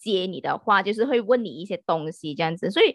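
A woman with a normal speaking voice, lively intonation and a fairly quick pace, in a dry, close sound with no echo. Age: 30s. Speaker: podcast guest. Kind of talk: casual chat.

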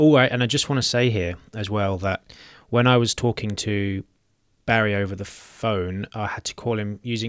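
In a plain, everyday voice, the speaker keeps a moderate pace and fairly even intonation, recorded very cleanly against a silent background with a dry, close sound and no echo. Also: man. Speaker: podcast host. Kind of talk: interview and discussion on a podcast.

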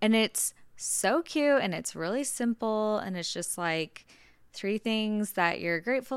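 A woman's unremarkable speaking voice, fairly slow in pace with ordinary pitch variation, on a very clean recording with a silent background. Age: 20s. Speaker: podcast host, beauty business owner. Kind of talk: casual chat.

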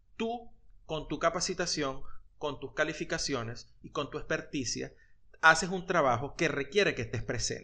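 Bright, sharp male voice against a quiet background. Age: 40s. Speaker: podcast co-host. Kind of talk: casual chat.

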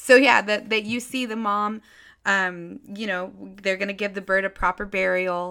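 On a very clean recording with a silent background, a woman speaks at a moderate pace and medium pitch, her tone bright and sharp, her intonation fairly even, and her loudness swinging widely. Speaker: podcast host. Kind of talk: casual monologue. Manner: halting, frequent fillers.

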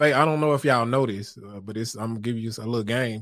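The man speaks with lively intonation. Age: 30s. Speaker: podcast host. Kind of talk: casual live-streamed talk show monologue. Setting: home studio, live stream. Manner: animated.

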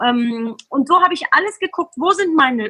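A raised, projected voice with a bright, sharp tone and lively intonation comes across with a dry, close sound and no echo. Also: woman. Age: 40s. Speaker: sales trainer and motivational speaker. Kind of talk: casual interview.

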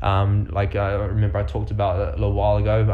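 A man with a New Zealand accent speaks in a very deep, low voice. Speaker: podcast host. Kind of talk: casual motivational coaching.

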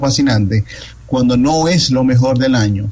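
Pitch varies in an ordinary way as the speaker keeps a moderate pace over noticeable background noise. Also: man. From Dominican Republic. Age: 30s. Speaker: film critic. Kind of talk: interview.

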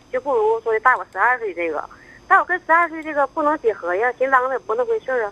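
A woman speaks at a very fast pace in a high, bright, sharp voice with very wide pitch swings. The sound is dry and close, with no echo. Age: 50s. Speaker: caller. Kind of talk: phone-in confession.

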